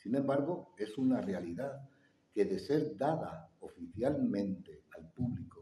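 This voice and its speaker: This man's dark, mellow tone carries vocal fry and very wide pitch swings. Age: 60s. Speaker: conference speaker. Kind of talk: public talk with audience Q&A.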